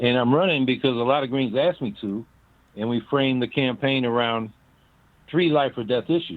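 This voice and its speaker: A man speaks in a normal speaking voice at a medium pitch. He goes at a fairly quick pace with ordinary pitch variation. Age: 60s. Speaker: presidential candidate. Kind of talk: interview. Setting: phone call.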